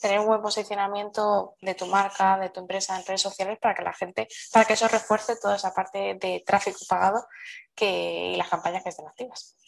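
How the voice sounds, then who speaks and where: A woman's medium-pitched voice at a fairly quick pace. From Seville, Spain. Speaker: marketing agency owner. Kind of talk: casual interview.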